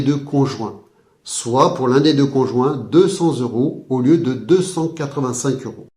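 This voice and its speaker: Speaking at a fairly slow pace, a man with a fairly high pitch and a dark, mellow, somewhat breathy tone is heard with audible room echo. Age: 50s. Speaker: hypnotherapist. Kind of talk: sales pitch. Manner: formal.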